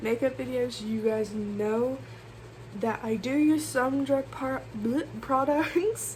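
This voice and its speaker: Noticeable background noise runs beneath a woman who speaks very slowly. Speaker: beauty vlogger. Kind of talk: casual makeup tutorial vlog. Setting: bedroom. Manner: loud, talking over fan.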